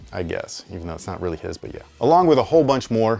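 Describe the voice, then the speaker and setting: Rattling along at a very fast pace, a man holds a medium pitch. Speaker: sneaker reviewer. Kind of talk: casual video outro. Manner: sounds sarcastic.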